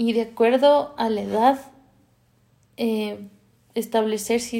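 A woman with a fairly high pitch and a dark, mellow tone speaks in a flat monotone on a very clean recording with a silent background. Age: 30s. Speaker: podcast host sharing personal story. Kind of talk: personal testimony monologue.

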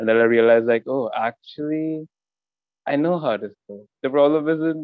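An Indian accent with big swings in loudness and ordinary pitch variation. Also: man, fairly high pitch for a man, moderate pace. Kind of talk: casual chat.

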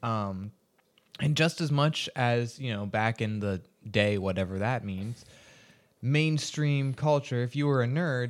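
A man with a normal speaking voice at a fairly slow pace, ordinary pitch variation, in a very clean recording with a silent background. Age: 20s. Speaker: podcast guest. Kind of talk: casual chat.

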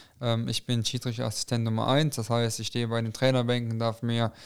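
Heard in a very clean recording with a silent background, a man speaks at a medium pitch in a monotone, flat intonation. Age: 20s. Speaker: amateur football referee. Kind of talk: casual chat.

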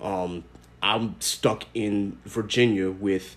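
With a normal speaking voice, a man talks at a fairly low pitch and ordinary pitch variation. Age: 20s. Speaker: podcast host. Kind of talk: casual chat.

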